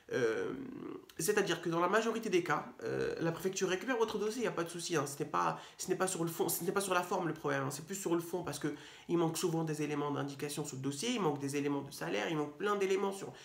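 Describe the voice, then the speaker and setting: A man talks very fast in a high pitch with ordinary pitch variation. Room echo can be heard. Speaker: legal advice youtuber. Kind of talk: explainer video. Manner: hesitant, many fillers.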